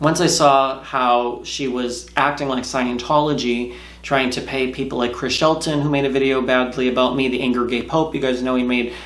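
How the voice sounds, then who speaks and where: Monotone, flat intonation marks this man's medium-pitched voice, with hardly any pauses. Audible room echo and noticeable background noise come through. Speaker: YouTuber, ex-Scientologist. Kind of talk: casual vlog monologue. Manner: fast.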